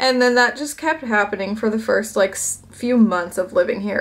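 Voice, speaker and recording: A woman with an American accent talks at a fairly high pitch. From United States. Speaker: vlogger. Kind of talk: casual chat. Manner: animated.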